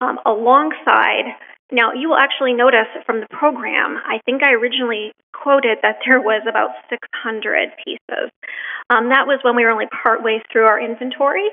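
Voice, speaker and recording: A woman speaks with a Canadian accent at a moderate pace. Her pitch is high. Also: ordinary pitch variation. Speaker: museum curator. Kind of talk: public talk. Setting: presentation to live audience.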